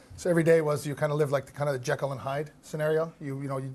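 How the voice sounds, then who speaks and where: A man talks with a fairly high pitch and a somewhat breathy voice. His intonation stays monotone and flat. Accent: General American. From Los Angeles, raised by Iranian parents. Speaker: hospitality entrepreneur. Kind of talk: interview. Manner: halting, many fillers and restarts.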